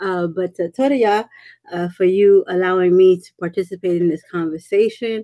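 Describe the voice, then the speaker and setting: In a New York accent, a woman speaks at a moderate pace in a medium-pitched, dark, mellow voice with fairly even intonation and big swings in loudness, in a dry, close sound with no echo. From US Northeast, Brooklyn. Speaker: women's ministry speaker. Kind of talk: panel discussion. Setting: live stream.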